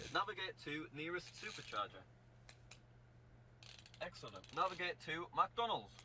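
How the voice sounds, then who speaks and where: At a moderate pace, the voice swings very widely in pitch and leaves long, frequent pauses amid noticeable background noise. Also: man, high pitch for a man. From northern England. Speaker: video presenter testing car voice commands. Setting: inside a car.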